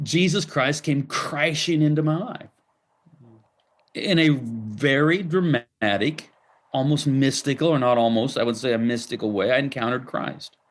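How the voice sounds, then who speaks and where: Here a man has a plain, everyday voice at a fairly high pitch. He keeps a moderate pace with ordinary pitch variation. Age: 60s. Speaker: pastor and author. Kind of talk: interview.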